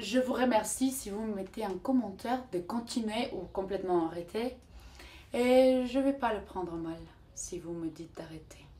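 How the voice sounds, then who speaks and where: A woman with a Spanish accent speaks at a fairly high pitch and a fairly slow pace. Her loudness swings widely. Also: lively intonation. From Mexico. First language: Spanish (speaking French). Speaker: vlogger. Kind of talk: motivational vlog talk. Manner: halting, searching for words.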